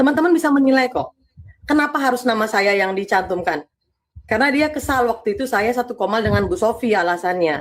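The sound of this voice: Her fairly high pitch and lively intonation carry as the woman speaks at a fairly quick pace.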